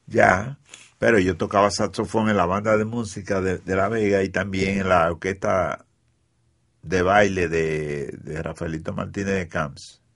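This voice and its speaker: His voice is pitched very deep and low. The man talks at a fairly slow pace. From Dominican Republic, Cibao (Mao). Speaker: musician and arranger. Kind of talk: interview storytelling. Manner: animated.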